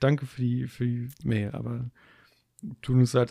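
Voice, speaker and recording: The man's voice sits at a medium pitch with fairly even intonation, and the sound is dry and close with no echo. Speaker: podcast co-host. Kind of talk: casual chat. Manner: halting.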